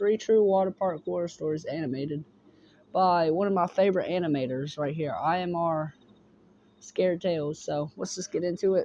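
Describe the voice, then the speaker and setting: A man speaks at a moderate pace in a high voice, his intonation fairly even. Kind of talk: casual reaction commentary.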